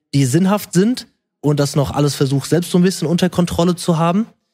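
A man with a fairly high pitch uses an ordinary speaking voice with ordinary pitch variation. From Germany, rural area. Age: 20s. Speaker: social media creator and personal trainer. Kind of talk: casual chat.

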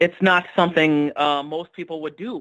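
Fairly high pitch from a man, delivered at a moderate pace. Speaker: fantasy football league member. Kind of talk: casual chat.

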